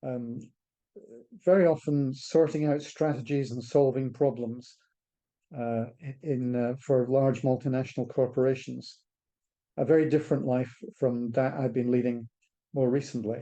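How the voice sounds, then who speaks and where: A man with a dark, mellow tone speaks with long, frequent pauses. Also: medium pitch for a man, fairly even intonation, moderate pace. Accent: Scottish. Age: 70s. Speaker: charity director. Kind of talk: interview talk. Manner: halting.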